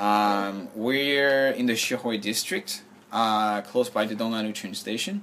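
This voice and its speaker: In a French accent, a man speaks at a fairly slow pace with a medium pitch and ordinary pitch variation. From France. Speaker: shop owner and entrepreneur. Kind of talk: interview.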